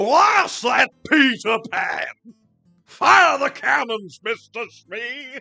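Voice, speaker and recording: Someone in a put-on character voice speaks very slowly at a fairly high pitch while faint music plays in the background. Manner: blustering, commanding.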